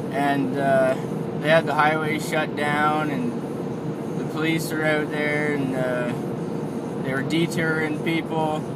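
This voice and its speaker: Loud background noise surrounds the speaker. A man talks at a very slow pace. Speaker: driver vlogger. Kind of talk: casual vlog chat. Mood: sober about fatal crash. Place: car. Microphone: phone near.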